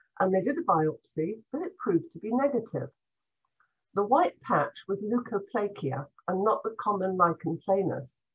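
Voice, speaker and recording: A somewhat breathy voice moves at a moderate pace with very wide pitch swings. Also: woman, medium pitch for a woman. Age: 70s. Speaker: former cancer patient. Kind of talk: personal testimony.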